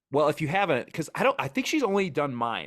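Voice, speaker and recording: A man with an American accent speaks in an animated tone, his pitch swinging very widely over vocal fry, on a very clean recording with a silent background. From US Midwest, Wisconsin. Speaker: outdoor content creator, hiker. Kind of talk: casual podcast interview. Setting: podcast recording.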